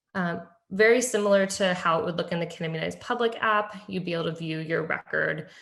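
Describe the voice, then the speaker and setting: At a fairly quick pace, a woman talks with a fairly low pitch and ordinary pitch variation. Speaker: public health technology presenter. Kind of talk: webinar presentation. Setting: virtual meeting. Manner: fast.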